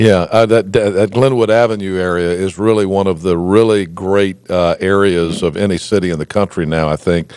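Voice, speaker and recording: With an American accent, a man speaks in a very deep, low pitch at a moderate pace. His intonation is fairly even, with hardly any pauses. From North Carolina. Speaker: talk show host. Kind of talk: interview. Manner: halting, repetitive fillers.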